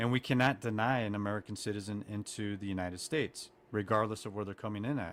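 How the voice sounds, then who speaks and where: In a very clean recording with a silent background, a man speaks with a fairly low pitch and fairly even intonation. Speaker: TikToker. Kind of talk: heated debate. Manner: long pauses.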